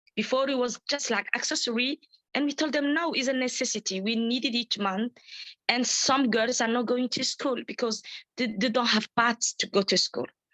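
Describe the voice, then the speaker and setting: A woman speaks in a French accent at a moderate pace, her high pitch carried in a bright, sharp tone. Her intonation is fairly even, her loudness very even, and the sound dry and close with no echo. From Djibouti. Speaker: menstrual health advocate. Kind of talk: webinar participant sharing experience. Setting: video call webinar. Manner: halting, many fillers and repetitions.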